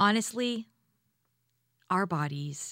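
Speaking very slowly, a woman with a Canadian accent uses lively intonation and a bright, sharp tone. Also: very clean recording, silent background. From Hamilton, Ontario, Canada. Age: 40s. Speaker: vocal coach and singer. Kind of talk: interview podcast. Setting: studio.

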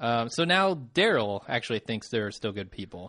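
Against a quiet background, a man uses a normal speaking voice at a medium pitch. His intonation is lively. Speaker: podcast host. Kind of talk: casual chat.

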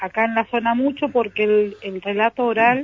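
A woman with a plain, everyday voice speaks at a fairly high pitch and a fairly slow pace, her intonation fairly even. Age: 60s. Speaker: local culture director. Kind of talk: radio interview.

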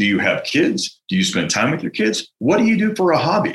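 With vocal fry and a fairly high pitch, a man moves through very wide pitch swings at a moderate pace. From US West Coast, San Francisco. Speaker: entrepreneur, franchise founder. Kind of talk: interview.

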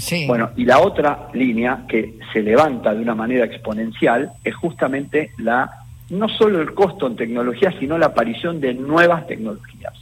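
With lively intonation and medium pitch, a man in an ordinary speaking voice talks at a moderate pace. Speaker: health insurance fund president. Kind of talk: radio interview.

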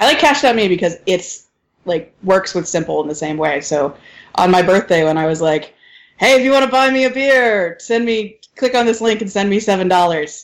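A woman's unremarkable speaking voice, medium in pitch, with an American accent, at a moderate pace. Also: lively intonation. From US South. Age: 30s. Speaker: podcast co-host. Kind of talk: casual chat.

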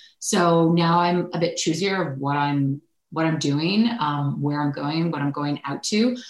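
A woman in a Canadian accent, fairly low-pitched, with ordinary pitch variation and a fairly slow pace. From Ontario, Canada (Oakville). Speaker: sports TV anchor. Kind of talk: interview conversation. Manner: casual, natural tone rather than put-on anchor voice.

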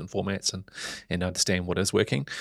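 A man with a New Zealand accent and very deep, low pitch at a very fast pace, in a very clean recording with a silent background and a dry, close sound with no echo. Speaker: media executive. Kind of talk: interview. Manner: halting, frequent fillers.

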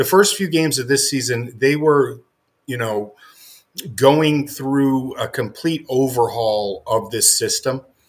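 Ordinary pitch variation in a man's fairly high voice, delivered at a fairly slow pace. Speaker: sports writer. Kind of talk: casual sports talk podcast. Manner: halting, many fillers and repetitions.

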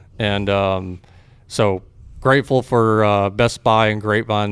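Fairly low in pitch, a man talks at a moderate pace with a Texan accent. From Texas (Fort Worth, Waco). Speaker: barbecue restaurant owner. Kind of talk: casual interview.

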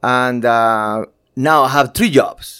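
This man talks with a Spanish accent. His recording is very clean and its background silent. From Cuba. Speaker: graphic designer and photographer. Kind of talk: interview. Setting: office. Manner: halting.

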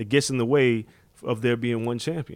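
A man with a New York accent speaks fairly quickly at a medium pitch. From New York, Far Rockaway, Queens. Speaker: combat sports journalist. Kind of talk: casual chat. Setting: hotel room in Las Vegas.

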